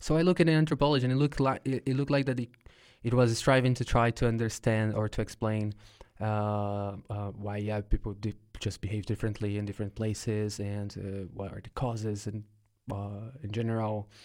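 A man with a Brazilian accent talks at a fairly quick pace and a fairly low pitch, with ordinary pitch variation, in a very clean recording with a silent background. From São Paulo, Brazil. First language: Portuguese. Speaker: podcast host, researcher. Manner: hesitant, filler-heavy.

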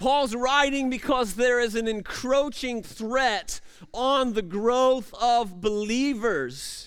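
A man speaks at a very slow pace. His pitch is extremely high for a man, with ordinary variation. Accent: American. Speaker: pastor. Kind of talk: sermon. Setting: church. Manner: animated; loud.

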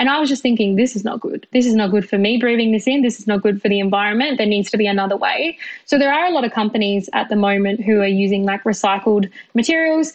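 Very fast speech comes from a woman with an Australian accent. Her pitch is fairly high and varies in an ordinary way. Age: 20s. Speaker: civil engineer. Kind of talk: interview.

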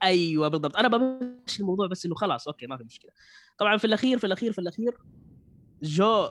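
A man at a very fast pace, with lively intonation. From Saudi Arabia. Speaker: beatboxer. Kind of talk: casual chat.

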